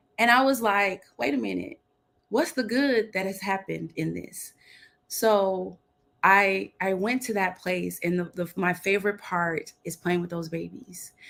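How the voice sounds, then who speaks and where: At a fairly slow pace, a woman speaks with an American accent at a medium pitch and ordinary pitch variation. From Texas, Dallas. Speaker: CEO of women's leadership business. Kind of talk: podcast interview. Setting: video call. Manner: animated, laughing a lot.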